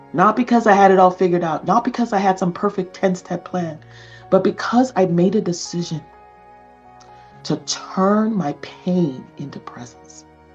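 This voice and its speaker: A woman's voice with ordinary pitch variation and big swings in loudness, music playing behind her. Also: medium pitch for a woman, moderate pace. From Nigeria. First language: non-English (Nigerian). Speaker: communication coach. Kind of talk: motivational talk to camera.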